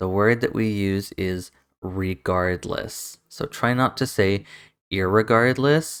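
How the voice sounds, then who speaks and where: A man with a Canadian accent, fairly low in pitch, with ordinary pitch variation, in a very clean recording with a silent background. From Canada. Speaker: English pronunciation teacher. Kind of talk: tutorial. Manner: slow, deliberate word repetition.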